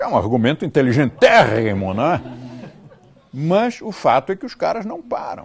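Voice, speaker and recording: A man at a fairly high pitch swings very widely in pitch and greatly in loudness, pausing long and often. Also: moderate pace. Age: 70s. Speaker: teacher. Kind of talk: podcast monologue.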